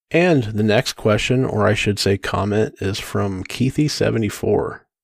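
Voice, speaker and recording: With an unremarkable speaking voice, a man talks at a fairly slow pace and a fairly low pitch. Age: 40s. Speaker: podcast co-host, IT worker. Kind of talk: casual chat.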